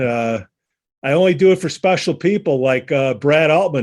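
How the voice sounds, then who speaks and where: With a Chicago accent, a man speaks at a moderate pace using lively intonation. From Chicago, northwest side. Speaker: podcast host. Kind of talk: casual chat.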